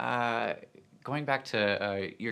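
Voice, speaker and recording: A man speaks in a bright, sharp tone. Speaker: podcast host. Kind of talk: casual interview chat.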